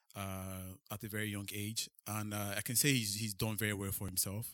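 A man's fairly low voice at a moderate pace, monotone and flat in intonation, in a very clean recording with a silent background. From Nigeria. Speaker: podcast host. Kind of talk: interview. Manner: hesitant.

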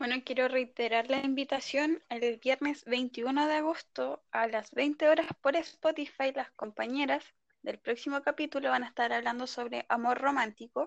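With a Chilean accent, a woman talks at a fairly slow pace in a high pitch, her intonation fairly even, with hardly any pauses and a dry, close sound with no echo. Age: 20s. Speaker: law student, podcast co-host. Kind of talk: casual chat.

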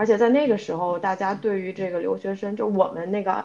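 Her unremarkable speaking voice has medium pitch for a woman, moving at a moderate pace with fairly even intonation. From China, Ningbo. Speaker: podcast co-host, product analyst. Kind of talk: casual chat.

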